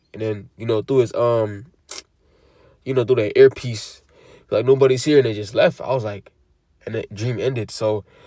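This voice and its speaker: A man of medium pitch with a dark, mellow tone, fairly even intonation, a moderate pace, big swings in loudness and long, frequent pauses, on a very clean recording with a silent background. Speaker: religious teacher. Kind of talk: sermon. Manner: casual; halting.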